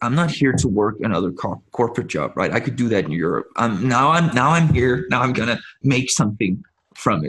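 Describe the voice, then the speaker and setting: A man's medium-pitched voice with vocal fry, fairly quick, with very wide pitch swings. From Denmark. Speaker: actor and entrepreneur. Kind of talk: interview.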